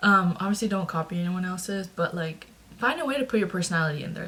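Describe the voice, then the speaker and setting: Somewhat breathy, the woman's voice sits fairly low in pitch. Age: 20s. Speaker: recent college graduate in marketing. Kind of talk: casual talk to camera. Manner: casual, chatty.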